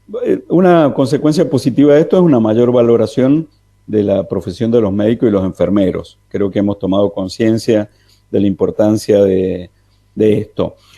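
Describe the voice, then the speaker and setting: A man's dark, mellow voice with lively intonation at a moderate pace. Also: medium pitch for a man. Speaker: economics commentator. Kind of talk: radio interview commentary. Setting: remote call into radio. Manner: soft-spoken.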